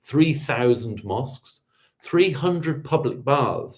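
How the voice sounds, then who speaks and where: A man's somewhat breathy voice with a British accent. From England. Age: 50s. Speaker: public historian. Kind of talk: lecture. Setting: video call. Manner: fast.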